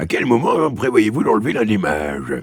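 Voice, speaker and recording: A man uses a raspy, put-on character voice at a medium pitch. He speaks at a moderate pace. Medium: read story. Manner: grave, matter-of-fact.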